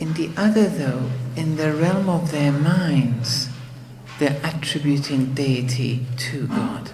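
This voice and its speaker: Very slow speech over noticeable background noise. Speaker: Islamic teacher. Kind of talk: lecture. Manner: halting.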